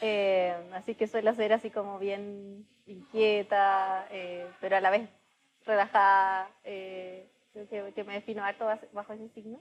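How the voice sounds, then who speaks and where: A woman with a Chilean accent, medium in pitch and monotone with flat intonation, at a fairly slow pace with big swings in loudness. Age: 30s. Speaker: startup founder. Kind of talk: podcast interview.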